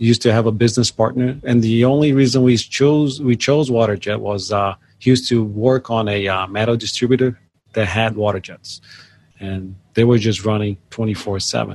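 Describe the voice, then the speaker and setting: With a Brazilian accent, a man talks at a fairly quick pace, keeping a medium pitch and fairly even intonation. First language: Portuguese. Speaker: job shop owner. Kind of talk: interview. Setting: on location at a business. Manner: halting, many fillers.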